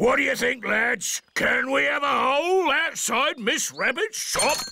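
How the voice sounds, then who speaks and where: A man puts on a cartoonish character voice with an extremely high pitch. He speaks at a fairly slow pace. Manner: loud, hearty.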